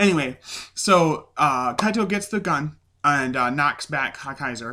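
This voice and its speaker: A man with a fairly high pitch and a bright, sharp tone speaks with ordinary pitch variation. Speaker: tokusatsu show reviewer. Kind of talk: casual video review recap. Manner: hesitant, many fillers.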